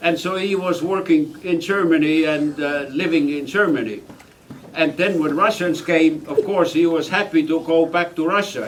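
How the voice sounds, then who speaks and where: A man with a high voice and ordinary pitch variation talks at a moderate pace while noticeable background noise continues. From Estonia. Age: 80s+. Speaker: refugee and war veteran. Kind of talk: testimony. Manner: halting.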